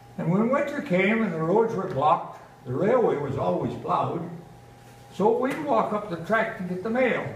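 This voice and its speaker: A man's voice swings very widely in pitch over noticeable background noise. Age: 80s+. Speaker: poet. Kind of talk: poetry reading. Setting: live festival audience.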